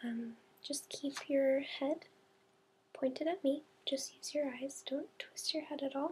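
Soft-spoken and gentle in tone, a woman talks at a fairly slow pace with a high pitch. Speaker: demonstrator of an eye exam. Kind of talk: role-play clinical instructions. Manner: soft, gentle ASMR speaking voice. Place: home room. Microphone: webcam.

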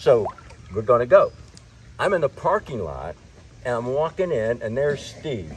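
Light background noise runs under a man's voice. He talks at a moderate pace with lively intonation. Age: 60s. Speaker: churchgoer being baptized. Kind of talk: testimony. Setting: outdoors at a body of water. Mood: warm, reflective. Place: waterside.

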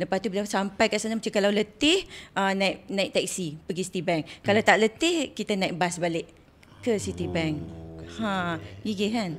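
A woman's voice with vocal fry and ordinary pitch variation comes through over light background noise. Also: moderate pace. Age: 40s. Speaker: former flight attendant; podcast guest. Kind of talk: casual chat. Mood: cheerful, animated. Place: studio. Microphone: studio mic.

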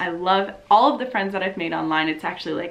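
With an American accent, a woman is speaking. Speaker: YouTuber and Twitch streamer; YouTuber, Twitch streamer. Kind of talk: casual vlog update. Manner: loud; animated. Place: home room.

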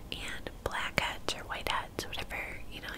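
A soft-spoken woman's whisper over loud background noise. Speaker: beauty video creator. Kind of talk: casual vlog chat. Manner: soft close-mic whisper. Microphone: studio mic.

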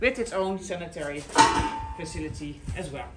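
Clear music plays in the background as the speaker moves at a moderate pace. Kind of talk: guided tour commentary. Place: hall. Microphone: phone near.

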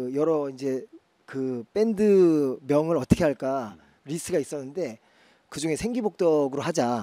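With a dark, mellow tone and lively intonation, a man talks at a fairly slow pace in a fairly high pitch, the background quiet and the sound dry with no echo. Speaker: rock drummer and singer; guest. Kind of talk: casual talk show interview. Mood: relaxed, animated. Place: stage. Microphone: handheld.

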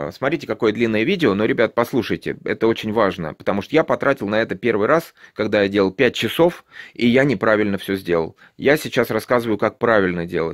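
Using an ordinary speaking voice, a man speaks at a fairly quick pace with a fairly low pitch, lively intonation and very even loudness against a quiet background. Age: 50s. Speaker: YouTube vlogger. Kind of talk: tutorial. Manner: casual, with many filler sounds. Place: home room. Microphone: phone near.

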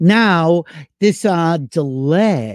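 The sound of this man's voice is dry, with no echo. His pitch swings very widely. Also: quiet background. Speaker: talk show host. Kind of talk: casual livestream chat. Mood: amused, joking. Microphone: webcam.

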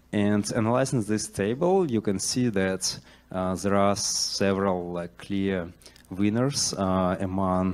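Slightly mellow tone at a slow pace. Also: man.

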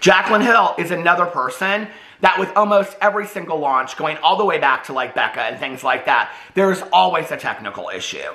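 A man talks at a fairly quick pace in a raised, projected voice with lively intonation. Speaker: commentary youtuber. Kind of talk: commentary. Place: home room.

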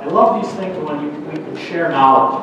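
With an American accent, a man at a fairly high pitch talks at a moderate pace with ordinary pitch variation, amid noticeable background noise and strong room echo. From Minnesota. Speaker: farm equipment market analyst. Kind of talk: conference talk. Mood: friendly, upbeat. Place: hall.

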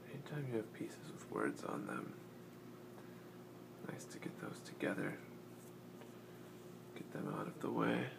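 Someone whispers, pausing long and often. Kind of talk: casual talk to camera while assembling a puzzle. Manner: soft-spoken, slow.

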